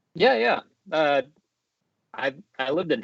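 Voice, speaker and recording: A man with a Midwestern US accent at a moderate pace, with ordinary pitch variation. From Japan, then Cincinnati area, Ohio. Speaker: podcast host. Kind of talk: casual chat.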